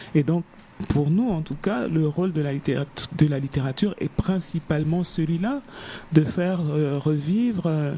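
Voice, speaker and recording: There is noticeable background noise as a woman speaks at a fairly slow pace. Her pitch is very deep and low, with ordinary variation. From Africa. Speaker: novelist. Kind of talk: interview. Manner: halting, many hesitations.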